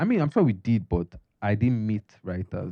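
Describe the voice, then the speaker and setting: The speaker has an American accent. Intonation is lively. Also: man. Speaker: architect turned filmmaker. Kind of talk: casual chat. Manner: fast.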